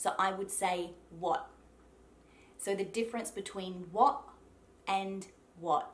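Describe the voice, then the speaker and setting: A woman with a South Australian accent speaks at a fairly slow pace. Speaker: accent coach and actress. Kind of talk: tutorial talk to camera.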